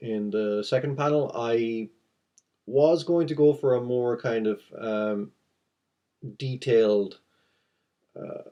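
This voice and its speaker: Over a quiet background, a man mumbles very slowly at medium pitch, his tone dark and mellow with ordinary pitch variation. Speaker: comic artist. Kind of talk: tutorial. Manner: mumbling; halting.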